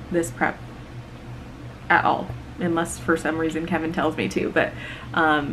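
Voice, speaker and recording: A soft-spoken woman talks with audible room echo. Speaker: bodybuilding coach and competitor. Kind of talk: casual chat.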